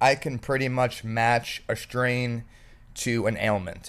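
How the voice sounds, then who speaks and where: At a fairly slow pace, a normal speaking voice comes through against a quiet background. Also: man. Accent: American. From South Florida. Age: 30s. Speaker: podcast host. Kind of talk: casual chat.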